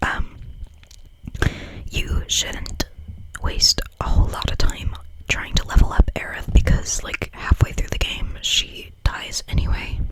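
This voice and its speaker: Whispering at a fairly slow pace over noticeable background noise. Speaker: ASMR creator. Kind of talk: ASMR reading of a game guide. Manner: whispered.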